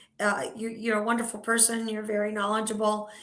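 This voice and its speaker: Monotone, flat intonation at a moderate pace, with audible room echo. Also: woman. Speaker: talk show host. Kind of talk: interview.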